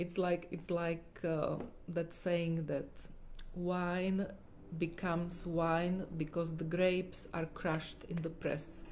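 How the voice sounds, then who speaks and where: A woman's fairly low, monotone, flat voice at a very slow pace, with a non-native accent and audible room echo. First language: not English. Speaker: holistic healer. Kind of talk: livestream talk. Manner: halting.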